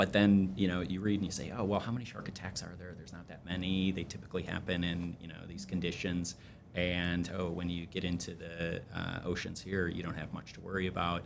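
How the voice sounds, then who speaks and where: Against audible room echo, a man with an American accent talks at a fairly quick pace with hardly any pauses, his very deep, low voice monotone and flat but with big swings in loudness. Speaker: energy trading company CEO. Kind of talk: podcast interview. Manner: hesitant, many fillers.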